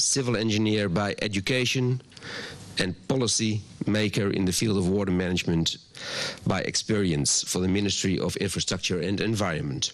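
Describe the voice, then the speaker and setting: With a Dutch accent, a man talks at a fairly quick pace and very even loudness over noticeable background noise. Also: fairly low pitch for a man, ordinary pitch variation. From Netherlands. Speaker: water agency director. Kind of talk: welcome address. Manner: halting, with ums.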